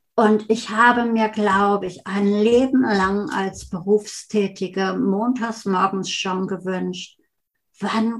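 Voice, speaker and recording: A woman at medium pitch, somewhat breathy, at a very slow pace. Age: 60s. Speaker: family therapist and breast cancer survivor. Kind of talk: interview conversation.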